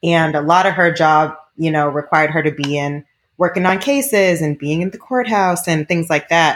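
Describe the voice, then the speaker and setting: With an American accent, a woman speaks in an ordinary speaking voice at a moderate pace, her pitch fairly low with ordinary variation, on a very clean recording with a silent background. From Boston, US. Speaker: TV producer. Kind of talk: casual chat.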